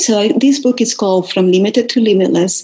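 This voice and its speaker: A voice in a Spanish accent, with ordinary pitch variation, comes through noticeable background noise. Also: woman. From Venezuela. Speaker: wellness coach. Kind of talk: interview. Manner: animated.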